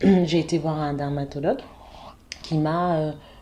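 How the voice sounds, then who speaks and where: A woman speaks in a very deep, low voice with a dark, mellow tone. Her intonation stays fairly even. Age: 40s. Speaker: cosmetics brand founder. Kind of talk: interview. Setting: office premises.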